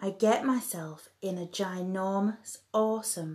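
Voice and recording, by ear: The speaker reads aloud. The delivery is in a natural voice.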